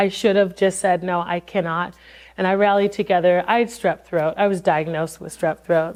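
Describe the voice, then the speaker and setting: A woman with an American accent at a fairly quick pace, over a quiet background. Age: 40s. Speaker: worship pastor and singer. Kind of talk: master class talk. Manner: hesitant, many fillers.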